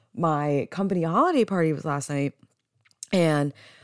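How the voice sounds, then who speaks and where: Recorded with a dry, close sound and no echo, a woman with an American accent speaks at a moderate pace. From New Jersey. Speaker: podcast host. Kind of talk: casual solo monologue. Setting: home bedroom recording. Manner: rambling, speed talking.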